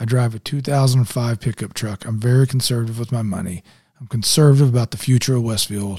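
A man at a very fast pace, medium in pitch with ordinary pitch variation, his tone dark and mellow and somewhat breathy. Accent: Midwestern American. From Indianapolis, Indiana. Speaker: mayoral candidate, former football coach. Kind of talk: interview. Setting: studio.

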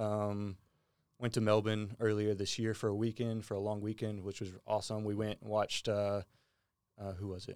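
Someone with a Texan accent speaks at a moderate pace in a monotone, flat intonation. The recording is very clean with a silent background. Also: man, fairly low pitch for a man. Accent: Texan American. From US South, small-town Texas near Houston. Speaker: departing marketing employee. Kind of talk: casual chat.

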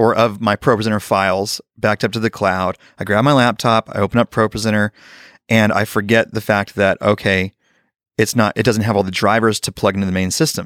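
A man's unremarkable speaking voice at a fairly low pitch and fairly quick pace, with fairly even intonation, a dry, close sound with no echo and a very clean recording with a silent background. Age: 30s. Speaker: worship leader and songwriter. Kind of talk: casual interview.

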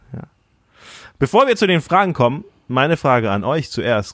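A man speaks at a fairly quick pace with very wide pitch swings in a very clean recording with a silent background and a dry, close sound with no echo. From Thailand. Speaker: podcast host and church planter. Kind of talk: casual chat.

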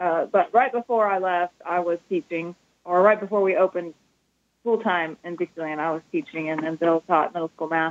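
Recorded with a dry, close sound and no echo, a woman speaks at a fairly low pitch in a plain, everyday voice. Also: ordinary pitch variation, fairly quick pace. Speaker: shop owner. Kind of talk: casual interview.

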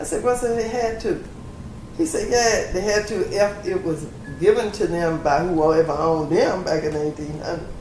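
A woman's medium-pitched voice with an American accent at a moderate pace, over noticeable background noise. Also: lively intonation. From US South, Louisiana (East Baton Rouge Parish). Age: 70s. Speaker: retiree recounting family land history. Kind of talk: interview, personal storytelling.

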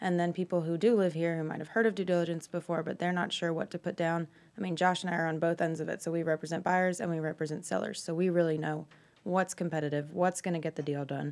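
The speaker talks at a very fast pace with an American accent. The intonation stays fairly even. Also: woman, fairly low pitch for a woman. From North Carolina, Cornelius. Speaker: real estate broker. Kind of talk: casual radio interview. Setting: radio studio.

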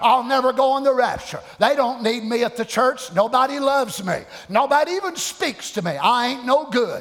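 Noticeable background noise sits behind a man with an American accent who speaks at an extremely high pitch and a moderate pace, with ordinary pitch variation. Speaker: pastor. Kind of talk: sermon; fiery Pentecostal-style preaching, coaxing congregation responses. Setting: church. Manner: animated call-and-response, acts out voices of discouraged believers; folksy, repetitive cadence with colloquial grammar.

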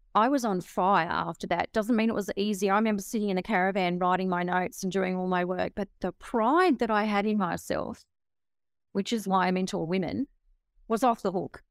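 Fairly quick and fairly even in intonation, a woman with an Australian accent speaks at medium pitch, the sound dry and close with no echo on a very clean recording with a silent background. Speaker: author and motivational speaker. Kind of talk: interview.

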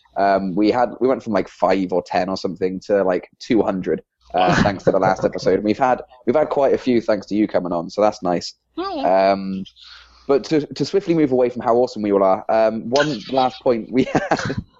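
In an English accent, a man talks at a moderate pace. His pitch is fairly low, with ordinary pitch variation. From England. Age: 20s. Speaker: podcast co-host and PHP developer. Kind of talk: casual podcast interview.

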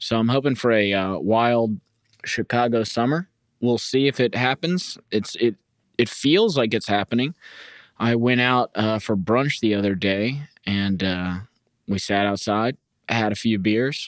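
A man with a normal speaking voice and medium pitch speaks at a fairly slow pace, his loudness very even and his pitch variation ordinary. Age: 30s. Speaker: podcast host. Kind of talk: casual solo podcast chat. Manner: casual, rambling, humorous.

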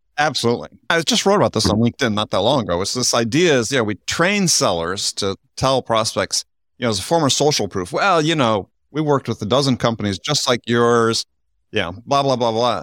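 With an ordinary speaking voice at medium pitch, a man talks with lively intonation, captured dry and close with no echo on a very clean recording with a silent background. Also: fairly quick pace. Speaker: podcast host. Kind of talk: interview roundtable discussion.

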